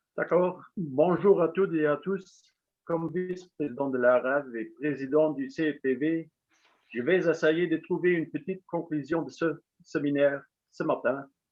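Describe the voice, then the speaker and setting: In a Luxembourgish accent, a man with a fairly high voice speaks at a fairly slow pace. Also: fairly even intonation. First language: Luxembourgish (speaking French). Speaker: association official. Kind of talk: concluding speech. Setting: webinar.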